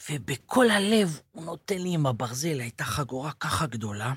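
With lively intonation and a somewhat breathy voice, a man talks at a moderate pace. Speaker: former soldier and captive. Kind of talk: interview testimony. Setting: studio.

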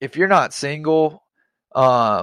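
With a fairly bright tone at medium pitch, a man talks with ordinary pitch variation in a dry, close sound with no echo.

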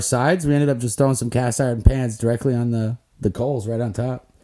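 Speaking at a very fast pace, a man with an American accent has a dark, mellow tone and fairly even intonation. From Lake Worth, Florida. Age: 30s. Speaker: podcast co-host. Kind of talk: casual chat. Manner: laid-back, jokey.

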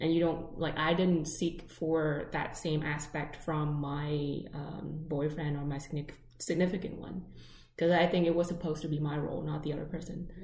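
Speaking in a Vietnamese accent, a woman with a somewhat breathy, very deep, low voice keeps a moderate pace and a monotone, flat intonation amid audible room echo. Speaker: podcast co-host. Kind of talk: casual chat.

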